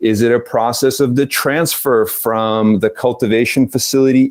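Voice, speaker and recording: Medium-pitched male speech at a moderate pace, with a US East Coast accent. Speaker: cannabis business consultant. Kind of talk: interview.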